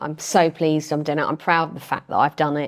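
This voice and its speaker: In a very clean recording with a silent background, a woman with a Thames Estuary accent speaks at a fairly low pitch. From Medway, Kent, England. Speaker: member of parliament. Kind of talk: interview.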